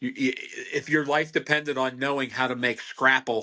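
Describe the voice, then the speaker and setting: In a Pennsylvania accent, a man speaks with a bright, sharp tone. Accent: Pennsylvania American. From Pennsylvania, Berks County. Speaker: butcher. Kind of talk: podcast interview.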